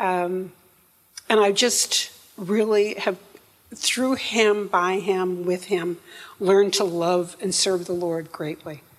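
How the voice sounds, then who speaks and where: With a northern US accent, a woman speaks at a very slow pace and a medium pitch with fairly even intonation. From upstate New York. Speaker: church member. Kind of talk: testimony. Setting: church.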